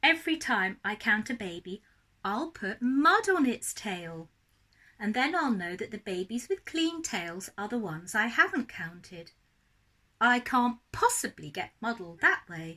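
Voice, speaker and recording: A woman's put-on character voice, fairly high in pitch, at a moderate pace. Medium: read story. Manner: exclaiming nonsense words.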